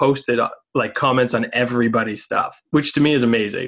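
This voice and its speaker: A man's unremarkable speaking voice, medium in pitch, at a fairly quick pace with fairly even intonation. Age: 30s. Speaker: podcast host. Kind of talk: interview. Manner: casual.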